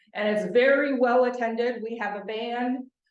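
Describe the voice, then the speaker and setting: Audible room echo surrounds a woman whose voice sits fairly high in pitch. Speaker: nonprofit organization representative. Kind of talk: presentation with slides. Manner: fast.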